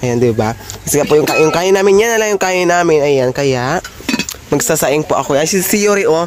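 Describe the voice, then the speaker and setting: Over noticeable background noise, a man with a fairly high pitch talks at a fairly quick pace with lively intonation and very even loudness. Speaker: vlogger. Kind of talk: casual vlog narration. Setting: bank, then at home.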